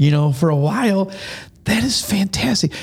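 Somewhat breathy, a man's voice moves at a moderate pace. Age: 50s. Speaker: school podcast host. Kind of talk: casual interview.

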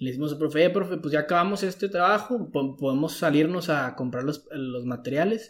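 In a normal speaking voice, a man talks at a fairly quick pace with fairly high pitch and ordinary pitch variation. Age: 20s. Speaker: university student. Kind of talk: casual chat.

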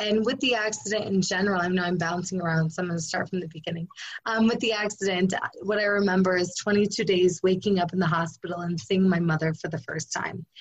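A woman's somewhat breathy, medium-pitched voice at a very fast pace, with ordinary pitch variation. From rural area. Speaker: endurance athlete and life coach. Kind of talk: interview.

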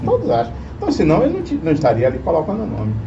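Room echo is audible around the man's voice, along with noticeable background noise. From Bahia, Brazil (Itabuna). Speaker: politician and engineer. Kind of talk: interview.

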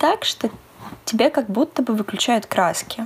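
Her voice sits fairly high. The woman's delivery is moderately paced. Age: 20s. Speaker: psychology student and podcast co-host. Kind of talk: casual chat.

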